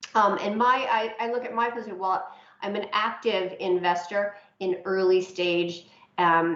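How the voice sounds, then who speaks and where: A woman's medium-pitched voice with fairly even intonation, audible room echo and noticeable background noise. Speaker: aviation investor and financier. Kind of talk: presentation to a working group.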